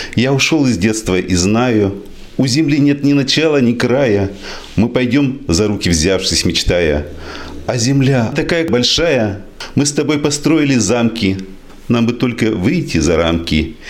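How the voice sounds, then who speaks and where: Speaking at a very slow pace with long, frequent pauses, a man swings his pitch very widely while his loudness stays very even, with audible room echo around him. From Izhevsk, Udmurtia, Russia. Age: 60s. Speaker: doctor and poet. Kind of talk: poetry reading; speech at book presentation. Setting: library event with audience.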